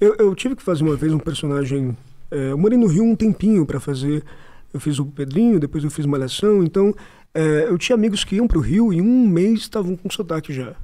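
A man's high-pitched voice with a dark, mellow tone at a fairly quick pace, against a quiet background. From São Paulo, Brazil. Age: 20s. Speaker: actor. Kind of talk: casual chat. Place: studio. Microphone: studio mic.

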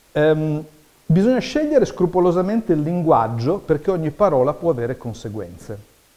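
A man talks at a moderate pace in a dark, mellow tone. His fairly high voice moves through very wide pitch swings. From Italy. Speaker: radio journalist. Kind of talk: workshop lecture. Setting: room with live audience. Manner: animated. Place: hall.

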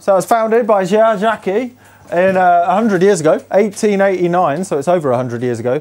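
The speaker is a man. He talks fairly quickly. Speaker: museum host. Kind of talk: casual vlog chat. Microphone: lapel.

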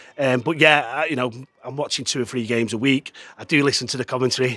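A man talks at a fast pace and medium pitch, his tone bright and sharp and his intonation fairly even.

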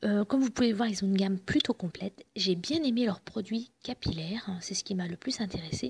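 Vocal fry and a husky, rough edge run through a woman's medium-pitched voice as she moves at a fairly quick pace with ordinary pitch variation.

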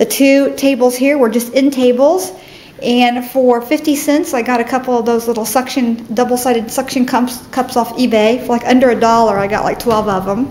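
A woman talks at a moderate pace in a high pitch with fairly even intonation. There is light background noise. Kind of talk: casual tour narration. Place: office. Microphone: phone near.

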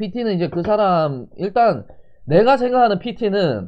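A man with a high pitch speaks at a very slow pace. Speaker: fitness streamer doing eating broadcasts. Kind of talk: casual livestream chat while eating. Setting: live internet stream.

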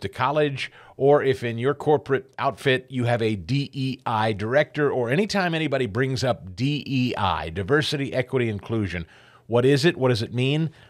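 The intonation is lively as a man talks at a moderate pace. Behind him, things stay quiet. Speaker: radio talk show host. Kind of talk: talk radio show opening monologue. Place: studio. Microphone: studio mic.

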